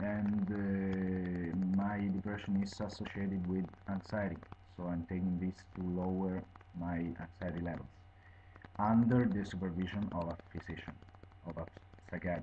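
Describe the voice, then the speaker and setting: A man speaks with an Italian accent in a very deep, low voice with a dark, mellow tone. His delivery is monotone and flat at a moderate pace, broken by long, frequent pauses. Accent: Italian accent, non-native English. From Italy. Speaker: video blogger reviewing medication. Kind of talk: informal explanatory monologue. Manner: halting, many fillers.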